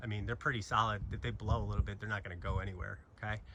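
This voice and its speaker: Fairly low male voice with ordinary pitch variation over noticeable background noise. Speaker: tech youtuber. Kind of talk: casual tutorial. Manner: casual, informal.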